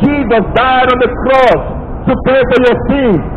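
A man's extremely high voice at a moderate pace, ordinary pitch variation, clear background noise behind

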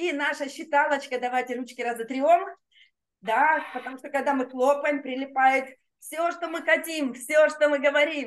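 Speaking at a fairly slow pace, a woman with a high pitch shows ordinary pitch variation against a quiet background. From Russia, Rostov-on-Don. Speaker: laughter yoga trainer. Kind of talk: guided group exercise session. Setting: online video session with chat. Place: home room. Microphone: webcam.

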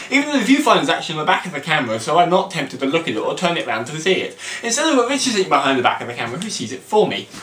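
Very fast and high-pitched, a man speaks with very wide pitch swings. Music plays in the background, and room echo is audible. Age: 20s. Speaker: vlogger. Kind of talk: casual talk to camera. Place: home room. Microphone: camera far.

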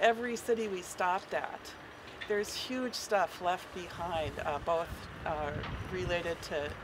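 Over noticeable background noise, a woman with an American accent speaks at a fairly slow pace in a fairly low pitch. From Minnesota. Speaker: peace activist, sailing crew member; speaker. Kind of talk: public speech. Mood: earnest, concerned. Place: waterside. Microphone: podium.

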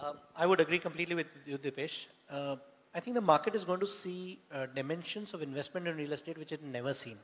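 Talking very fast, a man uses a fairly high voice with ordinary pitch variation. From Rajasthan, India. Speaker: marketing executive; panelist. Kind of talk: panel discussion. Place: hall.

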